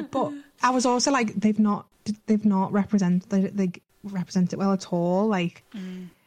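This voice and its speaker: Here a woman speaks at a medium pitch and moderate pace. Her voice is somewhat breathy, with ordinary pitch variation. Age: 20s. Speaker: sex educator. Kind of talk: casual chat. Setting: video call.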